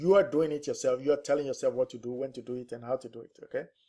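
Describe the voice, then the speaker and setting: A man speaks with a non-native accent and a fairly high pitch. His tone is dark and mellow. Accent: foreign. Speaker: real estate investor and trainer. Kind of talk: webinar presentation. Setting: online webinar. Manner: conversational, with frequent fillers.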